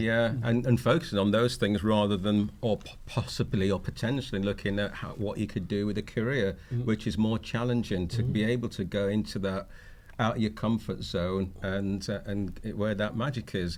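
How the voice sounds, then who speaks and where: A plain, everyday voice from a man, fairly low in pitch, with fairly even intonation at a moderate pace. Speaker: health and wellbeing consultant. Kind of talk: podcast interview answer.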